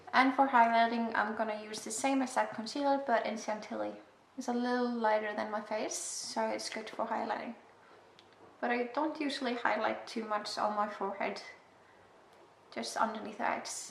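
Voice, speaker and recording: A woman with an Icelandic accent speaks at a moderate pace and fairly even intonation, with audible room echo and noticeable background noise. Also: fairly high pitch for a woman. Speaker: beauty vlogger. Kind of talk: makeup tutorial. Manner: casual, self-deprecating.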